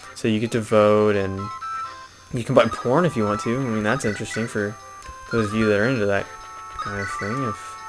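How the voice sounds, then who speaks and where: Over music in the background, a man speaks at a medium pitch and a fairly quick pace. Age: young. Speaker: video game let's player. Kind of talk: casual gameplay commentary. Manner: chatty, rambling.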